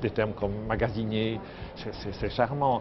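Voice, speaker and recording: Fairly even intonation from a male speaker, with noticeable noise behind him. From Belgium, Liège. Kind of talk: interview. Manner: halting.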